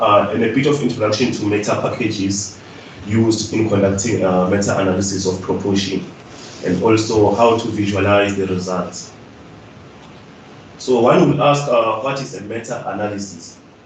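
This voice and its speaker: Amid noticeable background noise and audible room echo, a man at a fairly low pitch speaks at a moderate pace with fairly even intonation. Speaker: webinar presenter. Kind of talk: lecture. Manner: halting.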